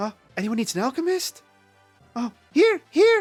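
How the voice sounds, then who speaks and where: Faint music plays behind a man doing a squeaky put-on character voice at an extremely high pitch, with very wide pitch swings. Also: moderate pace. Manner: eager.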